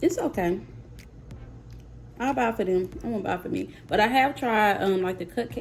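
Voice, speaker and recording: With an American accent, a woman speaks at a moderate pace in a fairly high voice, using lively intonation and long, frequent pauses. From US South, Mississippi. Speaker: YouTuber, mom. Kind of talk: casual vlog, taste test. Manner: animated.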